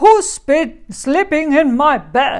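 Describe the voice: A put-on character voice, high-pitched and growling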